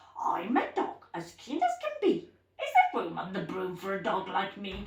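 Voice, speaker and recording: A put-on character voice moves at a moderate pace with a slight echo. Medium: read story.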